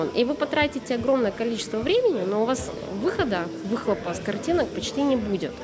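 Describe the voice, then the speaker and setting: Very fast speech over music in the background. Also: woman, high pitch for a woman, lively intonation. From Russia, Tyumen. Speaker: street photographer. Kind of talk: casual chat. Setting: cafe.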